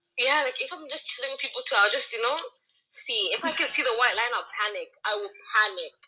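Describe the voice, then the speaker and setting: Raised and projected, a woman's high voice moves at a fairly quick pace with very wide pitch swings. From Canada, Toronto. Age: 20s. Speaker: student. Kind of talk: casual chat. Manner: animated.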